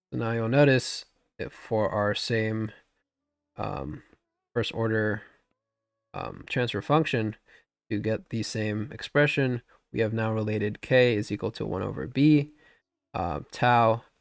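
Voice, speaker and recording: Over music in the background, a man with medium pitch talks at a fairly slow pace with ordinary pitch variation. He takes long, frequent pauses. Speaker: engineering instructor. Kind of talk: lecture. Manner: halting.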